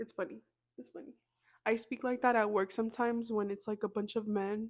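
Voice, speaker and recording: Soft-spoken and fairly high-pitched, a woman talks at a moderate pace in a monotone, flat intonation on a very clean recording with a silent background. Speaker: podcast host. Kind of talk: casual chat. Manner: casual.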